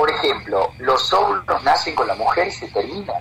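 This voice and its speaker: Man speaking at a moderate pace over noticeable background noise. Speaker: physician specializing in reproductive medicine. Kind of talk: radio interview.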